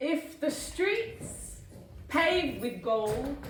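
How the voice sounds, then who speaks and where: A woman's high voice with very wide pitch swings. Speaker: spoken word poet. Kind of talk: spoken word poetry performance. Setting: live stage.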